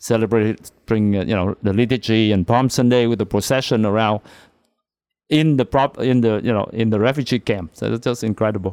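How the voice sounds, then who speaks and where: Speaking at a fairly quick pace with a Vietnamese accent, a man keeps very even loudness and fairly even intonation on a very clean recording with a silent background. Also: medium pitch for a man. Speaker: priest.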